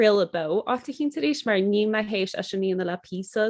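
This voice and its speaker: A woman talks in a Connemara accent at a fairly quick pace. Her pitch is medium, with ordinary variation. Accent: Connemara Irish. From Ireland, Connemara, Galway. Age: 30s. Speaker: podcaster and Irish-language content creator. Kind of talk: casual interview chat in Irish.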